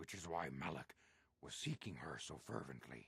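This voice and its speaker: Putting on a character voice, a man growls at a moderate pace in a very deep, low pitch. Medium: video game. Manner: measured, grave.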